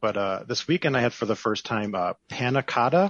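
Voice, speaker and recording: With lively intonation, a man talks at a moderate pace in a plain, everyday voice. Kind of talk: casual chat.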